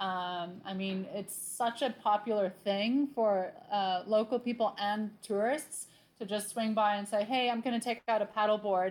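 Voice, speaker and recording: Fairly slow and with fairly even intonation, an ordinary speaking voice carries an American accent in a very clean recording with a silent background. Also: woman, fairly high pitch for a woman. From Southern California. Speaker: tour company worker. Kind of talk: casual interview.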